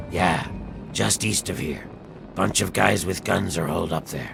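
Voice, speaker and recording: The speaker uses a put-on character voice at a moderate pace. Clear background noise runs underneath. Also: man, very deep, low pitch for a man. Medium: video game.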